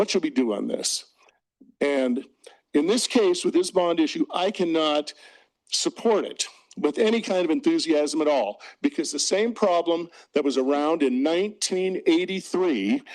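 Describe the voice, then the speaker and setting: Speaking loudly at a fairly slow pace, a man uses a high pitch that swings very widely. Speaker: retired orchestra teacher. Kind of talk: public comment at school board meeting. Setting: board meeting with PA mic. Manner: animated.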